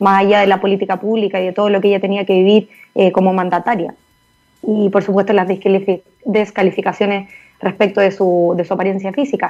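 Her loudness stays very even as a woman speaks at a fairly quick pace. Her intonation is monotone and flat. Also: medium pitch for a woman. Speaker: lawyer and mayoral candidate. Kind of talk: interview.

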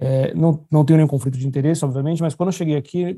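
Somewhat breathy and dark, mellow in tone, a man speaks with a fairly high pitch and ordinary pitch variation. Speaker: orthopedic surgeon. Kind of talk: casual chat.

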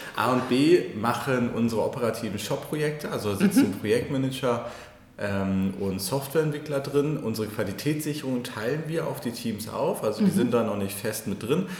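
Amid noticeable background noise and audible room echo, a man talks at a moderate pace and medium pitch with lively intonation. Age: 30s. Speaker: digital agency founder and managing director. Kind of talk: podcast interview. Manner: hesitant, many fillers.

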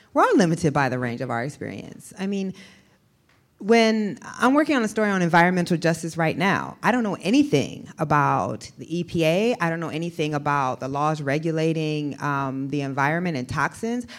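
In an American accent, a woman with an ordinary speaking voice and a fairly low pitch talks at a fairly quick pace with lively intonation. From Iowa. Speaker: investigative journalist. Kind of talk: onstage interview. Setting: stage with audience.

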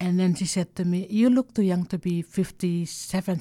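A woman speaks at a moderate pace with a fairly low pitch. Her tone is dark and mellow, with fairly even intonation. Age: 60s. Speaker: art curator. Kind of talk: interview storytelling. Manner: halting.

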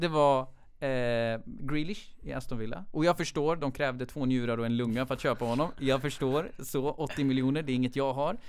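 A man speaks at medium pitch and a moderate pace, with ordinary pitch variation. He has an unremarkable speaking voice. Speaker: football fan guest. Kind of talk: casual chat.

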